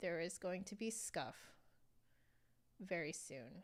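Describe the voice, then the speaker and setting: A woman speaks with an American accent and ordinary pitch variation. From US, San Francisco Bay Area. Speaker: flutist and instrument reviewer. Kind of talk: live stream review. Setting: live stream. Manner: casual, filler-heavy.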